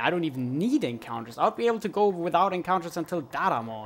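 A man with a German accent speaks at a fairly quick pace. His intonation is lively. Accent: faint German. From Germany. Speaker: video game speedrunner and streamer. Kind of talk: live gameplay commentary. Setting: live stream. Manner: animated, bursts of frustrated shouting.

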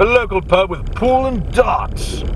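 Noticeable background noise accompanies a man speaking at a fairly slow pace. The sound is dry, with no echo. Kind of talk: casual tour commentary. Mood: light, joking. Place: car. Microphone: camera far.

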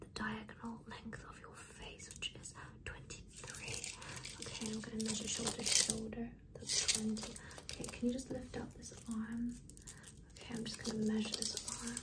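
A woman at a moderate pace, with long, frequent pauses and loud background noise. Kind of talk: ASMR roleplay. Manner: soft close-mic ASMR role-play voice. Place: home room. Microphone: phone near.

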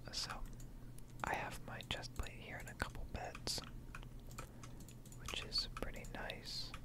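Speech comes at a very slow pace with long, frequent pauses, the sound dry with no echo, over loud background noise. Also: man. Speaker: ASMR gaming content creator. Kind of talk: casual talk to camera, ASMR gaming ramble.

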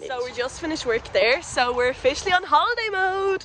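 A woman is heard over noticeable background noise, in a dry sound with no echo. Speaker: vlogger. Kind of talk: casual vlog chat. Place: street. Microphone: phone near.

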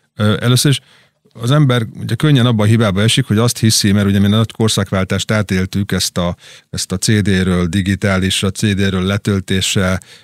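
Recorded very cleanly with a silent background and a dry, close sound with no echo, a man speaks at a moderate pace with a fairly low pitch and fairly even intonation. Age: middle-aged. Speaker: drummer and record label owner. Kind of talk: interview. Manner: halting.

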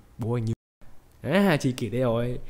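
Music can be heard behind the speaker. A man talks at a moderate pace, his intonation lively. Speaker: narrator. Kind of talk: comedic movie recap narration. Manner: joking, playful.

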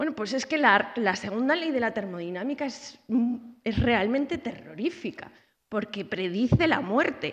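A woman's pitch swings very widely as she talks at a moderate pace over a quiet background. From Zaragoza, Spain; Spain. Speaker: researcher and university lecturer; university lecturer. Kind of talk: lecture. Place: hall. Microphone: podium.

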